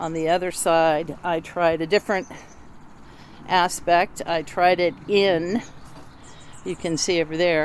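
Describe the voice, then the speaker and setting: The speaker talks at a fairly slow pace with long, frequent pauses. The intonation is monotone and flat. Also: woman, fairly low pitch for a woman. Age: 60s. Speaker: novice home DIYer. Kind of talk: casual tutorial walkthrough. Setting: outdoors in garden. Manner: casual, with fillers.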